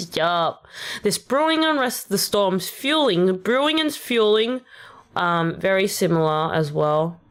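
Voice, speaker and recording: Very wide pitch swings mark this Australian accent. The pace is very slow. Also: woman. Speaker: vtuber rapper streamer. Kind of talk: casual livestream chat.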